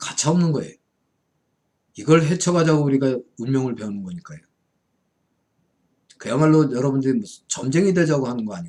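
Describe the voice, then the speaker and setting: The speaker has a dark, mellow tone, lively intonation and big swings in loudness. Delivery is fairly quick, broken by long, frequent pauses. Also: man, fairly high pitch for a man. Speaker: Buddhist monk and fortune-telling lecturer. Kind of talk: lecture.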